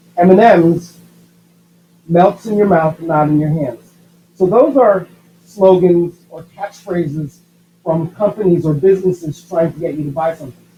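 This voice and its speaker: Speaking at a moderate pace, a man with a high pitch and ordinary pitch variation leaves long, frequent pauses, his loudness swinging widely. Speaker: schoolteacher. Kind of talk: tutorial.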